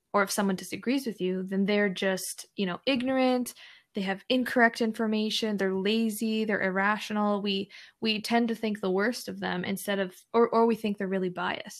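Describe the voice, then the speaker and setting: A woman speaks in an unremarkable speaking voice at a moderate pace, with medium pitch and fairly even intonation, on a very clean recording with a silent background. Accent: Canadian. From Canada (Edmonton, Alberta). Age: 20s. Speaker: social media content creator. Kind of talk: casual interview chat.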